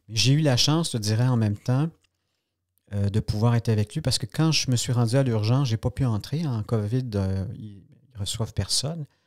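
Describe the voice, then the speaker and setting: A man's medium-pitched voice with a Quebec accent, at a moderate pace with ordinary pitch variation, on a very clean, dry, close recording with no echo and a silent background. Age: 60s. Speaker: journalist. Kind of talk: podcast interview.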